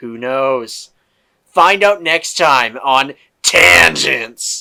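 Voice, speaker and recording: A man at medium pitch puts on a character voice. He speaks at a very slow pace. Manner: announcer-like.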